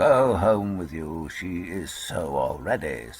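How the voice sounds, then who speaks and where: A man's raspy put-on character voice, very deep and low, with lively intonation at a fairly slow pace. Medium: read story. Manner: patient, calm.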